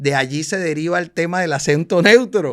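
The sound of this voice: Pitched fairly high, a man talks in a Colombian Caribbean accent with a fairly bright tone. The recording is very clean, with a silent background. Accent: Colombian Caribbean coastal Spanish.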